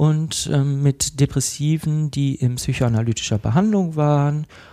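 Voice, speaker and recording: This man's voice has a dark, mellow tone and a fairly high pitch with ordinary pitch variation. He talks at a fairly slow pace. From Cologne, Germany. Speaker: psychotherapist in training. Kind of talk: casual interview.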